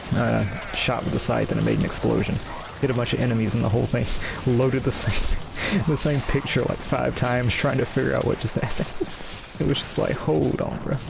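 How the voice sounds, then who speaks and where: Soft-spoken and at very even loudness, a man talks at a fairly quick pace amid noticeable background noise and audible room echo. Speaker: gaming streamer. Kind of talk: gameplay commentary. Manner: halting.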